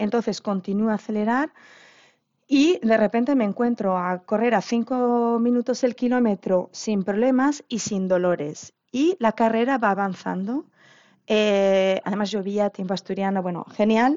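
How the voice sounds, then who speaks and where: A woman with an ordinary speaking voice talks at a fairly slow pace. Her pitch is fairly high, with ordinary pitch variation. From Asturias, Spain. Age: 40s. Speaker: marathon runner and dietitian's patient. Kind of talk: interview.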